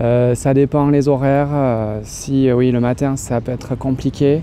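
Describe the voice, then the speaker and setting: Through noticeable background noise, a man speaks at a medium pitch with monotone, flat intonation. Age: 30s. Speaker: music teacher. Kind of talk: street interview. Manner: hesitant, many fillers.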